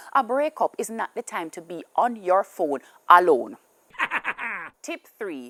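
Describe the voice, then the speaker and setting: A woman's voice at a fairly slow pace with very wide pitch swings, dry and close with no echo, on a very clean recording with a silent background. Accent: Jamaican. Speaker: comedian. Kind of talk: comedic monologue.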